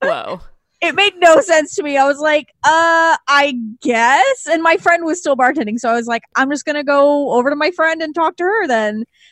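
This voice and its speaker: Speaking at a moderate pace with a Californian accent, a woman has a high pitch and ordinary pitch variation, with a dry, close sound and no echo. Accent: Californian, Valley girl. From Los Angeles, San Fernando Valley. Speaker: podcast host. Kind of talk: casual chat.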